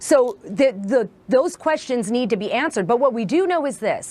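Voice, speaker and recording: The voice moves at a moderate pace with lively intonation against noticeable background noise. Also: woman. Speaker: investigative journalist. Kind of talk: TV news interview answer.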